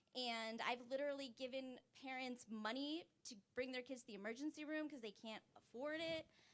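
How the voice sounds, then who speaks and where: Fairly even intonation in a bright, sharp tone. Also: woman. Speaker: audience member, pediatric nurse practitioner. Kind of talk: audience statement at town hall. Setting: town hall with live audience.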